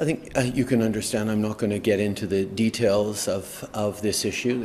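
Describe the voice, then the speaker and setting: A man mumbling at a moderate pace, fairly low-pitched, with fairly even intonation and light background noise. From Canada. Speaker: politician. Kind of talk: press conference answer. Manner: mumbling, stumbling, hesitant. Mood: measured, hesitant. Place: hall. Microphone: podium.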